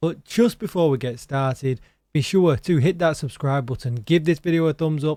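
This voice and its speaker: On a very clean recording with a silent background, a man with an English accent speaks in a dark, mellow tone at a fairly high pitch with ordinary pitch variation. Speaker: gaming streamer. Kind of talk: gaming news commentary. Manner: animated.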